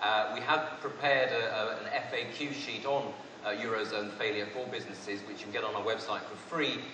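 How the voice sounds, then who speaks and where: Through audible room echo and noticeable background noise, a man speaks with a British accent at a fairly quick pace, with ordinary pitch variation. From Britain. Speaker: economist analyst. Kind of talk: conference presentation.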